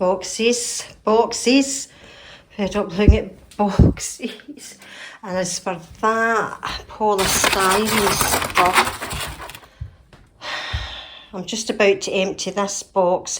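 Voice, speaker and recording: Over noticeable background noise, a woman of medium pitch speaks at a very slow pace with long, frequent pauses, big swings in loudness and fairly even intonation. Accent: Scottish. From Scotland. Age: 60s. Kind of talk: casual talk to camera.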